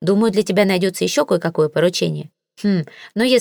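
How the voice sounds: The reading voice sounds natural. Nothing much stirs in the quiet background.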